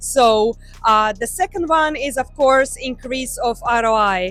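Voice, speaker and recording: Music plays behind a woman who speaks in a Croatian accent, her high voice carrying lively intonation. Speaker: tech company representative. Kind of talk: interview at trade show.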